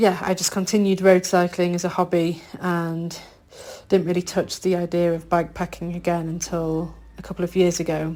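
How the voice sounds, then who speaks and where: Woman with a Yorkshire accent, fairly low-pitched and dark, mellow in tone, at a moderate pace with monotone, flat intonation. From northern England, Yorkshire. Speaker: bikepacker, podcast guest. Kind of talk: interview.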